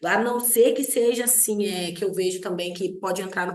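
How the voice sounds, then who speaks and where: This woman talks at a moderate pace. Her intonation stays fairly even. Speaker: lawyer and online teacher. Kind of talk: online lecture. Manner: many filler hesitations.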